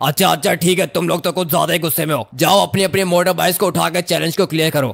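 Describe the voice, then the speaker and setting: A man puts on a gruff character voice, pitched high. He talks at a very fast pace with very even loudness. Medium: machinima. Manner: gruff, rude, bossy.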